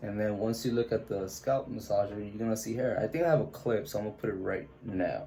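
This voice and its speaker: Barely pausing, a man speaks at a very fast pace with ordinary pitch variation. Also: medium pitch for a man. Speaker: vlogger documenting hair regrowth. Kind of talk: casual video diary. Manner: casual, filler-heavy.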